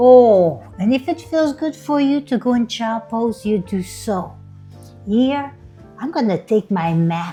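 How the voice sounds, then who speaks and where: A woman's playful, upbeat voice at a fairly high pitch, with very wide pitch swings and a very slow pace, over music in the background. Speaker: yoga instructor. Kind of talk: guided yoga class.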